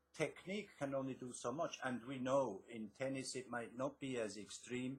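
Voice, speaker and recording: With a slight Swiss accent, a man speaks at a moderate pace in a somewhat breathy voice. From Switzerland. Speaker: author and success coach. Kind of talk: interview.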